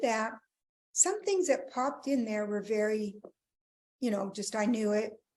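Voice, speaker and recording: A woman speaks with lively intonation. Her speech has long, frequent pauses. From Belgium, then Thompson, Manitoba, Canada. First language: French. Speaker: relationship counselor, speaker. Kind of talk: interview conversation.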